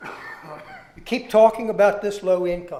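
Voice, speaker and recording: A man with an American accent speaks in a dark, mellow tone with fairly even intonation. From Maryland, Taneytown. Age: 70s. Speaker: retired educator, public commenter. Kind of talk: public testimony at a hearing. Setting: public zoning board hearing.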